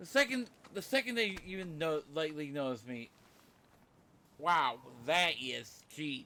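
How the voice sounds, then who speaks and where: A man talks loudly at a fairly high pitch in a bright, sharp tone, his pitch swinging very widely. His pace is fairly slow, with long, frequent pauses. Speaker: gaming streamer. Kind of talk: let's play commentary.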